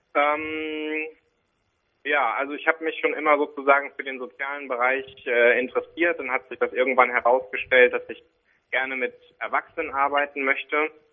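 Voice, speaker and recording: Speaking at a fairly high pitch, this man keeps a monotone, flat intonation. His loudness swings widely. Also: moderate pace. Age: 30s. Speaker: social worker and deacon. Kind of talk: interview. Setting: phone call.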